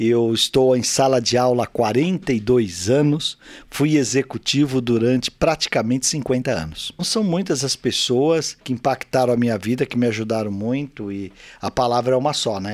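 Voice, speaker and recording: In a very clean recording with a silent background and a dry, close sound with no echo, a man talks at a moderate pace and medium pitch with ordinary pitch variation in an ordinary speaking voice. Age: 60s. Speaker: business executive and teacher. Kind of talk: interview excerpt, leadership advice.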